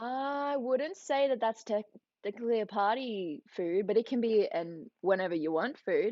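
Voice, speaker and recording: Speaking with an Australian accent, a woman uses a fairly high pitch and lively intonation at a moderate pace. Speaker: youtuber. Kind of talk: livestream chat. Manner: animated.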